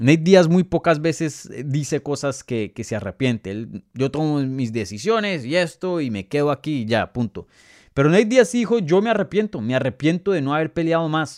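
A man's fairly high, animated voice with very wide pitch swings at a moderate pace, in a very clean recording with a silent background. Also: dry, close sound with no echo. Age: 20s. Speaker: MMA journalist and podcast host. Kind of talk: live Q&A show commentary. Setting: live stream.

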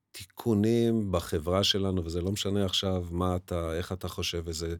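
A man with a very deep, low pitch and ordinary pitch variation is heard in a very clean recording against a silent background. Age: 60s. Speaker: teacher. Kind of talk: interview. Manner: halting.

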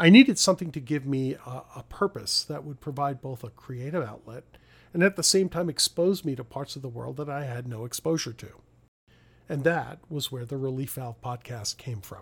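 Somewhat breathy, a man speaks at a moderate pace in a fairly high pitch with ordinary pitch variation and big swings in loudness. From New York (Brooklyn). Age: 50s. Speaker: podcast host, actor. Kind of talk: solo reflective monologue.

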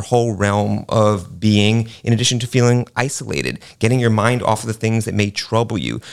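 A man with an unremarkable speaking voice and an American accent talks fairly quickly at a fairly low pitch, recorded very cleanly against a silent background. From New York City. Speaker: art museum director. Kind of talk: radio panel discussion.

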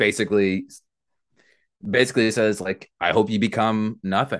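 A man with an American accent and fairly even intonation, over a quiet background. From New York, Long Island. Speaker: podcast host, guest host. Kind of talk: casual chat.

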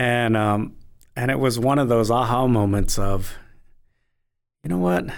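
A man with an American accent at a fairly slow pace, with long, frequent pauses, very even loudness, fairly even intonation and audible room echo. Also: medium pitch for a man. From Navajo Nation, Arizona (Tuba City). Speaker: minister. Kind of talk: interview. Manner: halting, many repetitions.

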